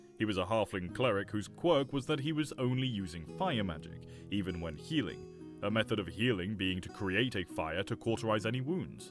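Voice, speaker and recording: A man's fairly low voice with very wide pitch swings, a moderate pace and hardly any pauses, music playing in the background. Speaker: reddit story narrator. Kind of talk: reddit story narration.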